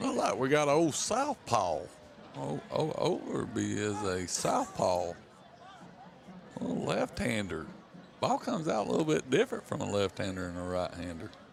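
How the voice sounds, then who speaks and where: Long, frequent pauses from a man at a moderate pace, amid noticeable background noise. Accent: American. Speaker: color commentator, former football coach. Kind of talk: live commentary.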